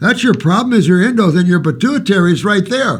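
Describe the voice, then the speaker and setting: This man speaks at a fairly quick pace. His voice sits high in pitch. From Alaska. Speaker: naturopathic health advisor. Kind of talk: live Q&A answering viewer questions. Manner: animated.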